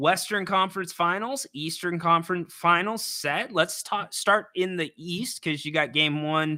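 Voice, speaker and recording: An ordinary speaking voice moves at a fairly slow pace in a very clean recording with a silent background and a dry, close sound with no echo. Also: man. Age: 30s. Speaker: sports radio host. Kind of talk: casual chat.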